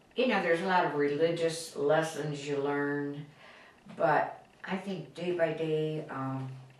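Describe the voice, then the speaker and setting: The speech goes at a fairly slow pace with ordinary pitch variation. Audible room echo and noticeable background noise are present. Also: woman, very deep, low pitch for a woman. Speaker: grandmother interviewed about her life. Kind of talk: life-story interview. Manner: halting.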